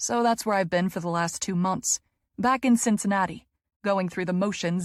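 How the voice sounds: The background is quiet behind a natural reading voice with ordinary pitch variation.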